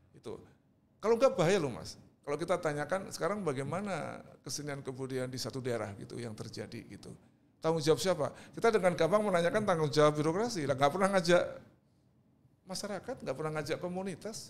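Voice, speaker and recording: Speaking at a very fast pace, a man uses a fairly high pitch and lively intonation. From Indonesia, East Java (Surabaya). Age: 60s. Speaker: artist and cultural figure. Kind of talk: podcast interview.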